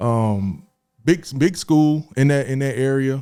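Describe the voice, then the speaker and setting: On a very clean recording with a silent background, a man with an American accent speaks in a dark, mellow tone at medium pitch with ordinary pitch variation. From Florida, Miami. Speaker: former college basketball player. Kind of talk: podcast interview.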